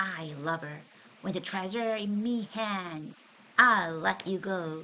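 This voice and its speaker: Putting on a character voice, a woman growls in a gruff way at a medium pitch and a fairly slow pace. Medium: read story. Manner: roaring, menacing, contemptuous.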